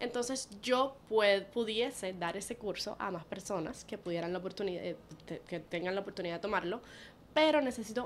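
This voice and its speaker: A woman speaks at a moderate pace with medium pitch. Her pitch varies in an ordinary way. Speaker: podcast co-host, therapy services. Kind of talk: casual chat. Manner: code-switching Spanglish.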